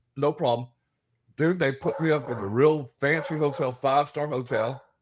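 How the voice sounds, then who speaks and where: A man with a Southern US accent at a moderate pace. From Alabama, US South. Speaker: paranormal investigator. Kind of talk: casual interview chat. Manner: animated.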